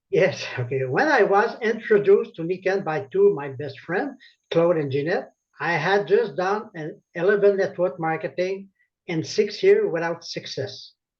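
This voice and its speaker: Speaking at a moderate pace with lively intonation, a man with a French Canadian accent has a high pitch. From Quebec, Laval. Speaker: network marketing consultant. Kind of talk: testimony.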